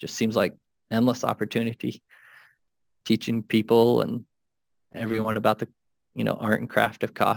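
Flat, monotone intonation and vocal fry come at a moderate pace with long, frequent pauses, in a dry, close sound with no echo on a very clean recording with a silent background. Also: man, medium pitch for a man. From rural Minnesota. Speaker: coffee roaster and cafe owner. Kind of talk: casual interview.

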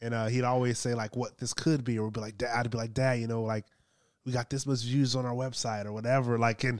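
Over a very clean recording with a silent background, a man with an American accent and an unremarkable speaking voice talks at a medium pitch with fairly even intonation. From Los Angeles, US. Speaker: business consultant, former police officer. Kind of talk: casual interview chat.

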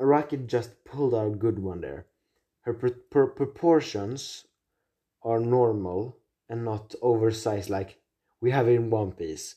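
Against a quiet background, a man speaks fairly slowly in a dark, mellow, somewhat breathy tone. His pitch is medium, with ordinary variation. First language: not English. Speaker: solo podcast host. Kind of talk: casual monologue, anime ranking. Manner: halting, many fillers and restarts.

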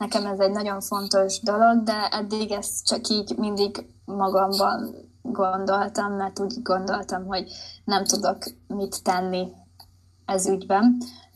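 Somewhat breathy and at a medium pitch, a woman talks at a fairly slow pace with monotone, flat intonation. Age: 20s. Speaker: artist and graphic design student. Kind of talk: casual interview. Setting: podcast interview.

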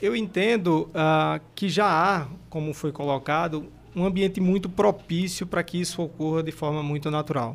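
The man has an ordinary speaking voice at a fairly high pitch, with ordinary pitch variation and a moderate pace. The recording is very clean, with a silent background. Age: 40s. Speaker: energy company sales executive. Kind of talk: panel discussion.

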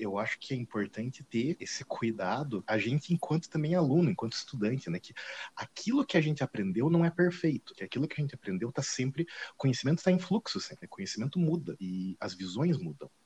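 Somewhat breathy and fairly quick, a man's voice makes very wide pitch swings in a dry, close sound with no echo. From Paraná, Brazil. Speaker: art history professor. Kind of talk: casual interview. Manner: halting, many fillers.

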